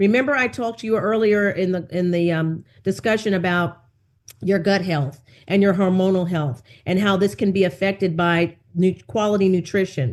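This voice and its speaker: A woman has a normal speaking voice at medium pitch. She keeps a moderate pace with ordinary pitch variation. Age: 60s. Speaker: wellness coach and nutritionist. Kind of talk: interview. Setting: podcast.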